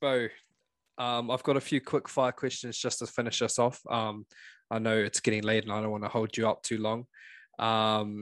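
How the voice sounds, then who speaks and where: The speaker has a New Zealand accent and moves at a moderate pace with monotone, flat intonation. The sound is dry and close with no echo, over a quiet background. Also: man, medium pitch for a man. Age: 20s. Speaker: podcast host. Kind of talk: casual interview.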